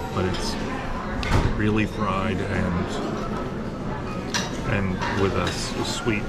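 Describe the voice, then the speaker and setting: A man talks over loud background noise. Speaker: food vlogger. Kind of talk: casual vlog chat. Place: cafe. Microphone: phone near.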